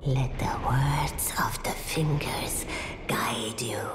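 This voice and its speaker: A cartoonish character voice whispers at a very slow pace. Loud background noise and a slight echo surround it. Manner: slow, cryptic, hushed.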